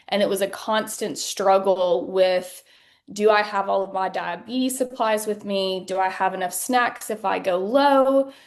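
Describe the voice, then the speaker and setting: A woman's medium-pitched voice with a Southern US accent, fairly slow in pace, with ordinary pitch variation. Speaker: patient sharing her story. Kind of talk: interview testimony.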